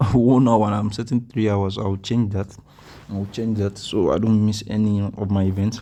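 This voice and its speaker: A man with a Nigerian accent speaks at a moderate pace and fairly low pitch. His intonation stays monotone and flat. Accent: Nigerian accent, noticeable. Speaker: mobile game guide YouTuber. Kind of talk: gameplay tutorial commentary. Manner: casual, hesitant with many fillers.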